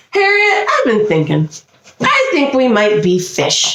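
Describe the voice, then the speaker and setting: This is a put-on character voice. It moves at a fairly slow pace. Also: woman, high pitch for a woman. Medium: read story.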